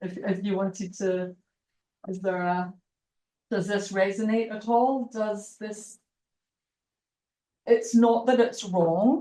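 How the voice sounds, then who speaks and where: A woman with a Scottish accent and a dark, mellow tone speaks at a medium pitch and a very slow pace, her intonation fairly even, her loudness swinging widely and her pauses long and frequent. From Scotland. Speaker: university lecturer. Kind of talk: lecture.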